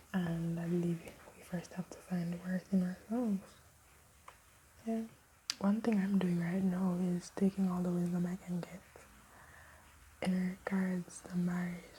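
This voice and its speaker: A woman whispers at a fairly slow pace. She leaves long, frequent pauses. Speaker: vlogger. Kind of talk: casual chat. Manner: whispering.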